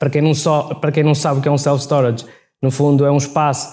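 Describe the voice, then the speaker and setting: Audible room echo surrounds a man speaking at a fairly high pitch in a dark, mellow tone. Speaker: logistics company CEO. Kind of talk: live interview. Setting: stage with audience. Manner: halting, many repetitions.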